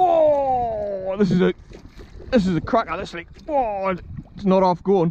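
Over light background noise, a man speaks at a high pitch. His intonation is lively, and the sound is dry with no echo. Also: fairly slow pace. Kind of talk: casual vlog chat. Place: boat. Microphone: phone near.

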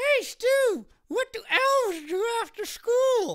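This put-on character voice is squeaky and extremely high-pitched, delivered at a very slow pace. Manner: jokey, punning.

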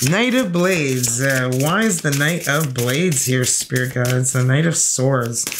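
Slowly, a woman speaks in an extremely low pitch with ordinary pitch variation.

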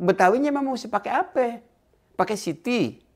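The setting is quiet. A man's intonation is lively as he talks at a moderate pace. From Jakarta, Betawi; Jakarta. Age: 70s. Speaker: Betawi cultural figure; interviewee. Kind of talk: casual interview. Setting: at his home. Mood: relaxed, cheerful. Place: home room. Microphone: lapel.

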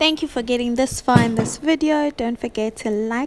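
Her pitch is ordinary in its variation. This woman talks with a high voice. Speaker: lifestyle vlogger. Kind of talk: casual vlog chat. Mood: cheerful, upbeat. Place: kitchen. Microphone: phone near.

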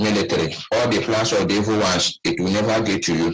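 A man's normal speaking voice, pitched fairly low, at a moderate pace with ordinary pitch variation. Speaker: caller. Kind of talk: call-in comment.

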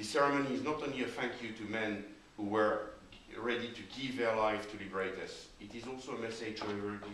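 A man talks at a fairly quick pace. Light background noise and audible room echo are present. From France. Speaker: French consular official. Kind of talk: formal ceremony speech. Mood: solemn, respectful. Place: hall. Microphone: camera far.

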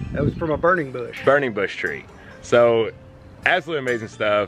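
The voice moves at a fairly quick pace over faint background music, with a dry sound and no echo. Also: man. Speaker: homestead vlogger. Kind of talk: casual vlog chat. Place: garden. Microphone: phone near.

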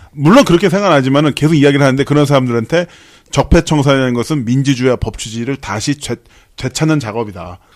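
A man talks at a very fast pace in an animated tone, with a fairly high pitch. The recording is very clean with a silent background. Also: ordinary pitch variation. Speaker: news anchor co-host. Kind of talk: political talk show discussion.

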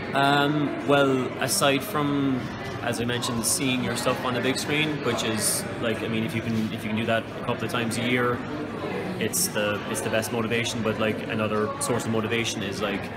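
Background music accompanies the recording. Over it, a man talks at a moderate pace. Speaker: interviewee. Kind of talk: interview answer. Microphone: phone near.

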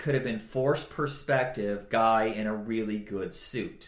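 Audible room echo carries a man's voice as he speaks fairly slowly with ordinary pitch variation. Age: 40s. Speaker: podcast host. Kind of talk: casual chat.

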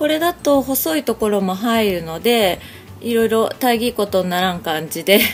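Faint music sits behind a woman who speaks at a moderate pace with very wide pitch swings. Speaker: craft shop owner. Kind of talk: craft tutorial narration. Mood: friendly, cheerful. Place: shop. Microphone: phone near.

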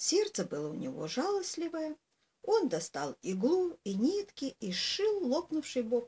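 A woman speaks at a very slow pace with very wide pitch swings. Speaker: storyteller. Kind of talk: reading a fairy tale aloud. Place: home room. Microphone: webcam.

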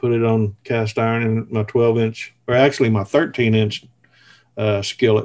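A man speaks with a Southern US accent at a moderate pace. His pitch sits in the medium range. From US South (southern Missouri). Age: 50s. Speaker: cast iron cooking video creator. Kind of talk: casual interview. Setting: video call from home.

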